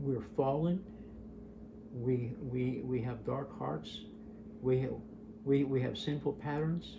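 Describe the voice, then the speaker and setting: A man at medium pitch, very slow with long, frequent pauses and lively intonation, amid audible room echo and noticeable background noise. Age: 70s. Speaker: testimony speaker, association president. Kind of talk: testimony. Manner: halting, many repetitions and fillers.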